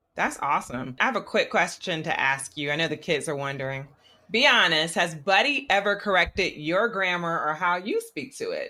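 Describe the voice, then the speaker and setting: A woman speaks with a bright, sharp tone at a fairly low pitch. Her pitch swings very widely. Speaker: podcast host. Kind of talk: interview. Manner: fast.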